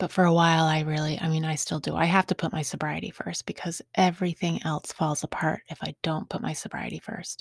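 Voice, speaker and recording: A woman with a fairly low pitch and vocal fry talks at a fairly quick pace, with hardly any pauses and fairly even intonation. The recording is very clean, with a silent background and a dry, close sound that has no echo. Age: 40s. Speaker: podcast host in recovery. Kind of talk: personal testimony monologue. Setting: home recording studio. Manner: halting with repetitions.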